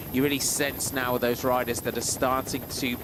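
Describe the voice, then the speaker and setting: Against noticeable background noise, a man speaks at medium pitch. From Scotland. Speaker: cycling commentator. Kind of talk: live commentary. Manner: hesitant, many fillers and restarts.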